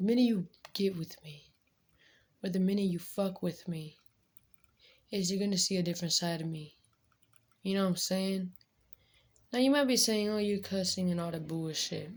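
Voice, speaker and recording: At a fairly quick pace, a woman talks in a fairly low, somewhat breathy voice. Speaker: vlogger. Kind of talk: casual chat.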